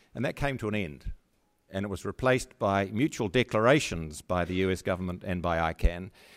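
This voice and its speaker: Fairly low in pitch, a man talks in a normal speaking voice at a fairly quick pace with ordinary pitch variation. The recording is very clean, the background silent. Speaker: former internet governance organization chairman and lawyer. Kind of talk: panel discussion.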